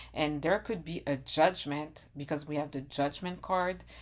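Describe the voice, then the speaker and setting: A woman speaks at a very deep, low pitch with vocal fry and ordinary pitch variation. Her pace is fairly slow in a very clean recording with a silent background. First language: not English. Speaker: tarot reader. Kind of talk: tarot reading monologue. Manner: halting.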